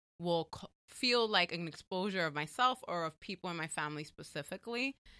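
The voice has a bright, sharp tone and lively intonation at a moderate pace, recorded with a dry, close sound and no echo. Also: woman. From New York, the Bronx. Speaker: writer and educator. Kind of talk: casual interview.

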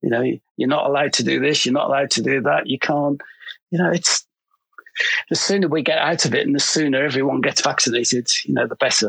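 The speaker has a Liverpool accent. The pace is very fast. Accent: Scouse. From Liverpool, England. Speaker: fashion photographer. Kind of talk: casual chat. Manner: halting, many fillers.

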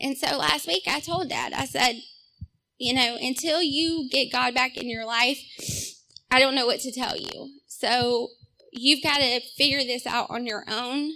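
Projecting a raised voice, a woman with a Southern US accent talks at a fairly slow pace and a high pitch, with ordinary pitch variation. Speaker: testimony giver. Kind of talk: testimony. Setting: church.

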